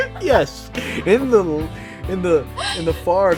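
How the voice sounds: A natural reading voice moves along with lively intonation.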